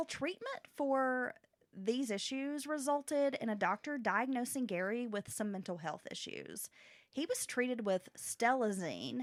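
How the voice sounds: A woman talks at a high pitch with lively intonation. Her pace is fairly slow.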